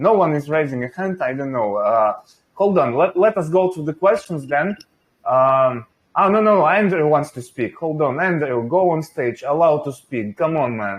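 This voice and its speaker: A man with a Russian accent speaks at a moderate pace, his fairly high voice carrying lively intonation. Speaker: venture investor and channel host. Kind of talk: interview.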